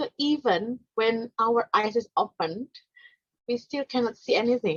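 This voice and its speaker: Speaking with an Indonesian accent, a woman uses lively intonation at a fairly slow pace and a fairly high pitch. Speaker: non-profit organization founder and presenter. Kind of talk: conference presentation. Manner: halting, many fillers.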